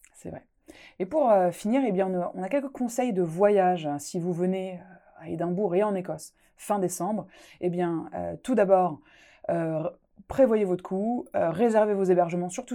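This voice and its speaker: A woman of medium pitch with a dark, mellow tone speaks at a moderate pace, with ordinary pitch variation and big swings in loudness, in a very clean recording with a silent background. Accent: Alsatian. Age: 20s. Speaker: podcast host. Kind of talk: casual podcast chat. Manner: animated, laughs often.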